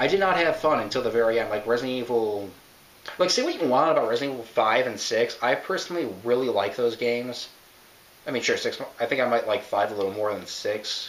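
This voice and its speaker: Over noticeable background noise and audible room echo, a man at medium pitch talks at a very fast pace with ordinary pitch variation. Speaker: video game reviewer. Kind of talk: casual commentary. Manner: halting, self-interrupting.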